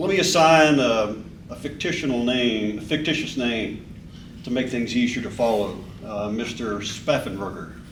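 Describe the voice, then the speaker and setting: Audible room echo surrounds a man speaking at medium pitch. His intonation is lively and his pace moderate. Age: 60s. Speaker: member of the public giving comment. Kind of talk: public comment at a board meeting. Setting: public board meeting room. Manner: halting, with repeated words.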